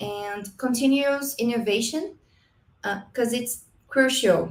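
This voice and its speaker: A woman speaks with a Brazilian accent at a fairly slow pace. Her pitch is high, with ordinary variation. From Brazil, Paraná. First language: Portuguese. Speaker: marketing professor and business consultant. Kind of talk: conference presentation. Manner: halting, with self-corrections.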